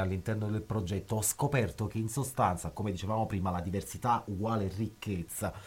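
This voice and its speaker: Fairly low male pitch with a somewhat breathy quality. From southern Italy, northern Naples area. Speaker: musician. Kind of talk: radio interview. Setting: recording studio.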